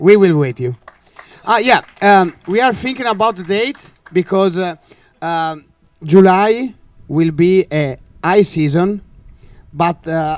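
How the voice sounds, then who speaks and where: This man talks fairly slowly. He has an Italian accent. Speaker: championship bid presenter. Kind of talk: bid presentation. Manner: halting.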